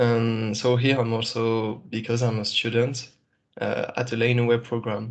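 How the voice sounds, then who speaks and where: Against a quiet background, a man of medium pitch speaks in a French accent with monotone, flat intonation. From New Caledonia. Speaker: startup founder and student. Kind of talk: introductions in an online workshop.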